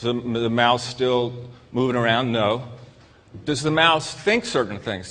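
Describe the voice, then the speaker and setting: A man's medium-pitched voice at a fairly slow pace, with ordinary pitch variation and audible room echo. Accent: American. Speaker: psychiatrist and lecturer. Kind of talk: lecture. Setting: stage with audience. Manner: repetitive, halting restarts.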